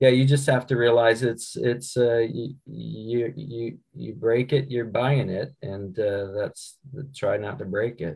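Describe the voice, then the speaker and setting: A man speaks in a somewhat breathy voice. His loudness swings widely. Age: 60s. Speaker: paramotor pilot in an adventure race. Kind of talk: casual panel chat.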